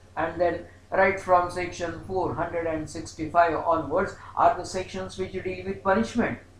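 With hardly any pauses, a high-pitched man speaks at a very slow pace and fairly even intonation, with audible room echo and light background noise. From India. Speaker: law professor. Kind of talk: lecture. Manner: formal. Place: home room. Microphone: webcam.

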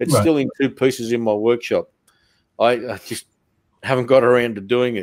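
A man with an Australian accent speaks at a fairly quick pace in fairly even intonation, with long, frequent pauses. The background is quiet and the sound is dry with no echo. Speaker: podcast host. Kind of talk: casual chat. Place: home room. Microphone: studio mic.

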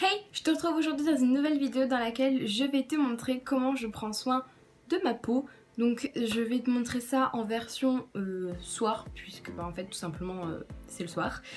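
A woman's high-pitched voice at a fairly slow pace, with faint music in the background. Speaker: beauty vlogger. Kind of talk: casual vlog chat. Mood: friendly, upbeat. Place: home room. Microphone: phone near.

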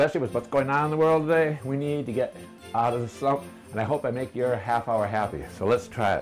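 A man keeps up a fairly quick pace while faint music sounds in the background. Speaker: home cooking show host. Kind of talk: tutorial. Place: kitchen. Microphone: camera far.

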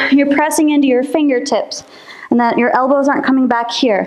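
This is a woman speaking. Her voice is high. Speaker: fitness instructor. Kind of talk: workout class instruction. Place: empty room. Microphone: camera far.

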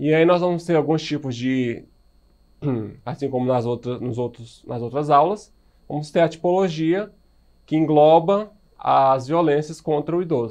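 Against a quiet background, a man with a fairly high pitch and ordinary pitch variation talks at a fairly slow pace with long, frequent pauses. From Brazil. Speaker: high school biology teacher; biology teacher. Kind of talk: recorded video lecture. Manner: casual, filler-heavy (né, certo). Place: studio.

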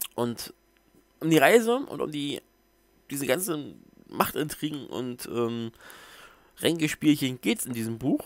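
A man mumbles at a very slow pace with lively intonation and long, frequent pauses, in a dry sound with no echo. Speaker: book reviewer. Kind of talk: casual book review to camera. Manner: mumbling. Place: home room. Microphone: headset.

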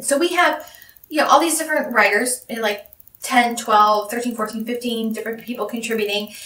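A woman talks at a fairly quick pace. Room echo is audible in the recording. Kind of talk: casual vlog chat. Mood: wry, mildly exasperated. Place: home room.

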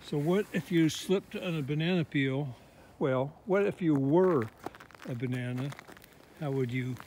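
Over light background noise, a man speaks at a fairly slow pace with long, frequent pauses and ordinary pitch variation. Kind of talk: casual vlog chat. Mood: playful, wry humor. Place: open country. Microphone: phone near.

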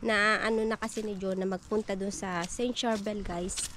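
A woman at a very slow pace, dry sound with no echo, light background noise. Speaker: vlogger. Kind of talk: casual vlog chat. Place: garden. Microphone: phone near.

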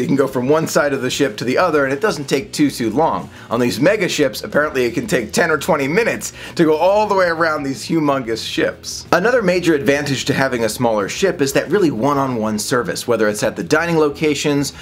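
The speech moves at a fairly quick pace with lively intonation and few pauses over faint background noise. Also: man, fairly high pitch for a man.

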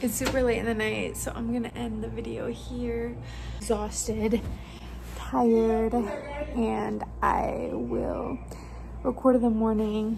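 Noticeable background noise sits behind a woman talking at a very slow pace. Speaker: truck driver vlogger. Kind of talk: casual vlog chat. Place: home room. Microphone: phone near.

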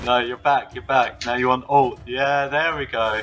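Music plays in the background as a man speaks at medium pitch. His pace is fairly slow and his intonation fairly even. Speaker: game designer and producer. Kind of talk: casual gameplay commentary.

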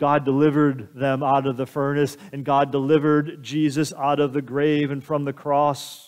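Against a quiet background, a man with a fairly high pitch speaks at a moderate pace with monotone, flat intonation and hardly any pauses. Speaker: pastor. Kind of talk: sermon. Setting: church. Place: church.

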